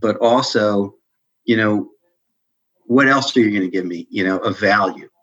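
A man's voice at a medium pitch. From Maryland suburbs of Washington D.C. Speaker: accounting firm executive. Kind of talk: interview. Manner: halting, many repetitions and fillers.

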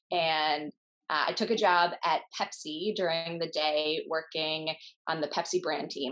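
A woman speaks with an Upper Midwest accent. Her pitch is very deep and low. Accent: Upper Midwest American. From US Midwest, Minnesota. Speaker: startup founder. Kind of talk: interview.

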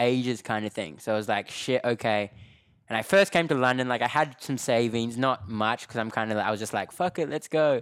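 The recording is very clean, with a silent background. In it, a man talks with an Australian accent. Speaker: dancer and actor. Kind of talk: casual interview. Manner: relaxed, laughs often.

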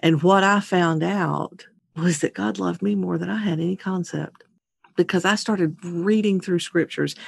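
The speaker has an ordinary speaking voice. The intonation is lively and the pace moderate. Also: woman, fairly low pitch for a woman. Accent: American. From Louisiana, US South. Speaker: podcast host and nonprofit founder. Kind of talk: casual interview, life story.

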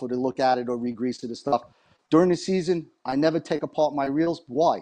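A man's dark, mellow voice with a New York accent, fairly high pitch, ordinary pitch variation and a fairly quick pace. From New York area. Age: 60s. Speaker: fishing reel repair technician. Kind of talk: interview. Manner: chatty.

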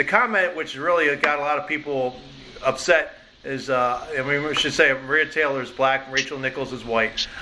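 A man's fairly high voice in an American accent, at a moderate pace with ordinary pitch variation, over noticeable background noise. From Philadelphia. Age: 50s. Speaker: podcast host, sports editor. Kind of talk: interview. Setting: studio.

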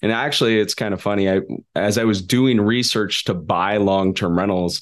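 Fairly quick and fairly low, a man talks with fairly even intonation in an unremarkable speaking voice. The background is quiet. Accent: American. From California, Sacramento. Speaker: real estate investor and podcast host. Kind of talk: interview.

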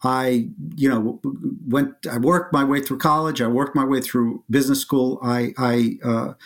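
A man with a Russian accent at a medium pitch and moderate pace, with fairly even intonation, on a very clean recording with a silent background. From Soviet Union (Leningrad). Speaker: gold bullion company founder. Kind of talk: interview.

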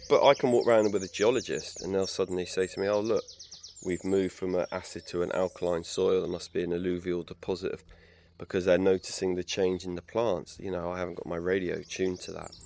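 Talking very fast, this man has an English accent. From England. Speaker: naturalist and bird expert. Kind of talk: interview monologue.

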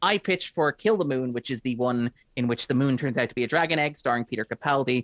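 A man with an Irish accent at a very fast pace, medium pitch and ordinary pitch variation, in a dry, close sound with no echo. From Ireland. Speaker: film critic. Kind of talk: casual chat.

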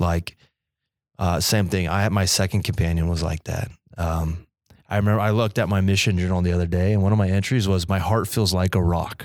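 A man with a very deep, low voice speaks at a fairly quick pace with very even loudness and fairly even intonation. The recording is very clean, with a silent background. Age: 20s. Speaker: podcast co-host. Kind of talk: casual interview.

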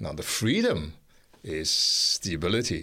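The background is silent and the recording very clean. Here a man talks in a bright, sharp tone. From Singapore. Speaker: international speaker and researcher on mental health. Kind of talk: radio interview. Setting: radio studio.

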